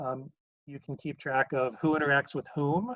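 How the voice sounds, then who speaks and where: A man's voice at a moderate pace with ordinary pitch variation, dry sound with no echo and a quiet background. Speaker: math professor. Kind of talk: lecture. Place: home room. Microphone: webcam.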